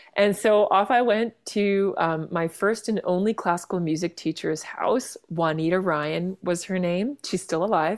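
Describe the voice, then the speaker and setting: Hardly pausing, a woman with a Canadian accent talks in a normal speaking voice at medium pitch with ordinary pitch variation on a very clean recording with a silent background. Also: fairly slow pace. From Vancouver, Canada. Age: 40s. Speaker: jazz singer-songwriter and pianist. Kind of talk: casual interview chat.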